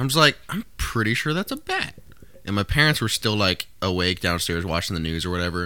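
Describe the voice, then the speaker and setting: A plain, everyday voice from a man, fairly low in pitch, with lively intonation at a fairly quick pace. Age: 20s. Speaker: podcast co-host. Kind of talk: casual chat.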